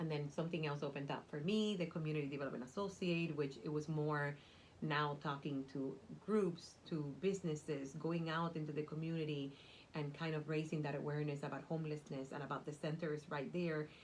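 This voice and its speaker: A woman speaks in a Cuban accent with a very deep, low pitch. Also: fairly quick pace. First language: Spanish. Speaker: nonprofit community development worker. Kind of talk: interview. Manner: animated.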